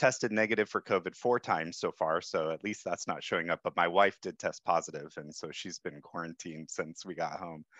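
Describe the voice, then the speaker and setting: A man with a very deep, low voice talks at a fairly quick clip with hardly any pauses, the sound dry and echo-free against a quiet background. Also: ordinary pitch variation. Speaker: fire simulation software developer. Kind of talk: panel discussion. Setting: video call. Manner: unprepared, casual. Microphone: video call.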